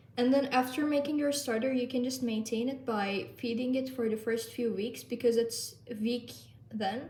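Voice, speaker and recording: A Turkish accent at a moderate pace with fairly even intonation, audible room echo around it. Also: woman. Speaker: lifestyle vlogger. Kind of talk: tutorial. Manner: casual.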